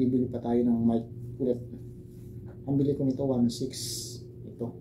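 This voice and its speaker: Heard with audible room echo, a man at a medium pitch speaks in a monotone, flat intonation. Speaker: herbal remedy vlogger. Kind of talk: tutorial. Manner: casual, hesitant. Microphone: broken mic, voice too quiet.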